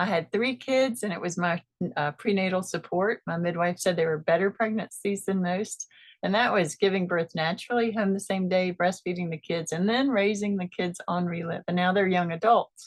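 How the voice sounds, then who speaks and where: A woman speaks in a plain, everyday voice at a medium pitch and moderate pace, with ordinary pitch variation and a dry, close sound with no echo. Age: 50s. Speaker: product distributor giving testimony. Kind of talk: testimony.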